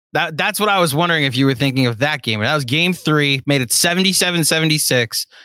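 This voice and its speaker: Bright and sharp in tone, a man talks at a moderate pace. The recording is very clean, with a silent background. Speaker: sports podcast co-host. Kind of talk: casual live-stream chat.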